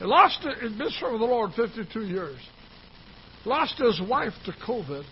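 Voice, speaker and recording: A high-pitched male voice with very wide pitch swings, at a fairly slow pace amid noticeable background noise. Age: 70s. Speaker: pastor. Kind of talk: sermon. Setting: church.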